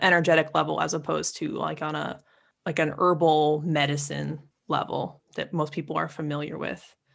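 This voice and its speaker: Speaking in an American accent, a woman uses a very deep, low pitch, monotone, flat intonation and vocal fry. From Lake Tahoe, California. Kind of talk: casual interview chat.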